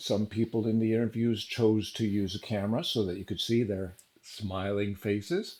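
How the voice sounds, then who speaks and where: A man with a plain, everyday voice speaks at a fairly low pitch and a moderate pace, with fairly even intonation. The recording is very clean, with a silent background. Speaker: gaming news vlogger. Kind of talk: casual monologue.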